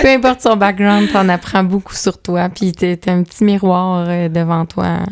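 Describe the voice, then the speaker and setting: A woman at medium pitch, talking at a fairly slow pace. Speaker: author and mother of five. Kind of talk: podcast interview. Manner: loud; animated.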